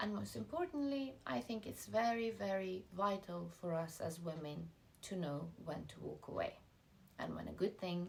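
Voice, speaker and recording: A woman speaks with an Iranian accent. Her pace is moderate. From Iranian family, schooled in Russia and the UK. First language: Farsi. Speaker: lifestyle vlogger. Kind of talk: motivational talk to camera.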